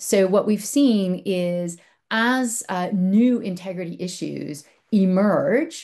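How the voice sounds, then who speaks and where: Against a quiet background, a woman uses a plain, everyday voice with lively intonation. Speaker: publishing industry representative. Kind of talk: conference presentation.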